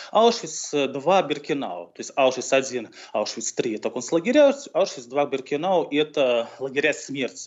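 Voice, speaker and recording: A normal speaking voice moves at a fairly slow pace with lively intonation. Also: man, fairly high pitch for a man. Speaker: historian. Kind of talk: interview. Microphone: connection dropped briefly.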